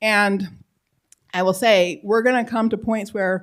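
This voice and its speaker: A woman with an American accent and ordinary pitch variation, in a very clean recording with a silent background. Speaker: political philosopher and civic education scholar. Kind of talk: Q&A after a public lecture. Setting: lecture hall with live audience. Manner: fast.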